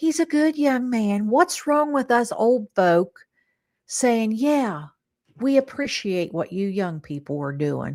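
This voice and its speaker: Speaking at a very slow pace, a woman uses a fairly high pitch with very wide pitch swings. The recording is very clean, with a silent background. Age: 60s. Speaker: livestream host. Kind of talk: casual chat. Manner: animated.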